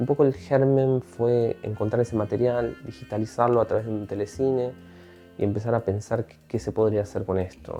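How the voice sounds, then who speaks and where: Speech at a moderate pace with ordinary pitch variation, over music in the background. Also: man, medium pitch for a man. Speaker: filmmaker. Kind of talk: interview answer.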